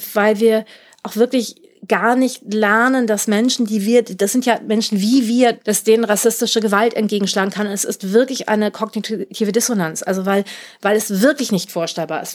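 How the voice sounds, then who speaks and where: With a plain, everyday voice, a woman talks at a moderate pace in a fairly high pitch with fairly even intonation. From Germany. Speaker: author and cultural scientist. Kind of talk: interview about her novel.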